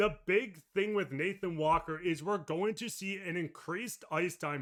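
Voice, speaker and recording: A man speaks loudly with a high pitch and ordinary pitch variation. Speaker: sports podcast host. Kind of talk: casual sports talk.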